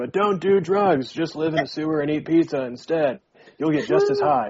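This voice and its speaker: This put-on character voice sits at a middle pitch and moves at a moderate pace. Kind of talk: slangy. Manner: relaxed, drawn-out.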